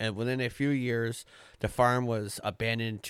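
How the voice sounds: A voice reading in a natural way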